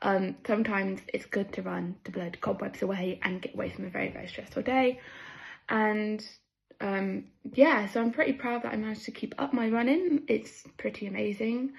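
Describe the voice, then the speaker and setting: In a West Country accent, a woman talks at a fairly quick pace, somewhat breathy, with a fairly high pitch and ordinary pitch variation. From southwest England. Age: 20s. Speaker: amateur runner, running group member. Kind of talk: personal testimony.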